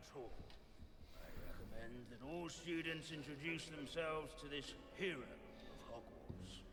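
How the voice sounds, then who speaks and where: Over loud background noise and a clear echo, a man does a put-on character voice at a fairly high pitch, speaking at a fairly slow pace with hardly any pauses. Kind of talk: scholarly lecture. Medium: video game. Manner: droning, pedantic.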